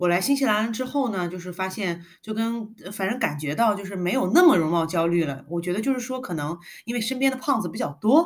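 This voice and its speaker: A woman with an unremarkable speaking voice talks at a medium pitch. Her pace is fairly quick and her intonation lively. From China, Guangzhou. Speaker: podcast co-host. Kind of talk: casual chat.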